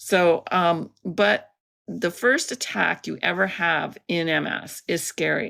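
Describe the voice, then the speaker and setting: With a Canadian accent, a woman speaks in a fairly low pitch, her tone bright and sharp, with vocal fry. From Canada, Alberta. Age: 60s. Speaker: artist with multiple sclerosis. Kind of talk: interview. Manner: halting.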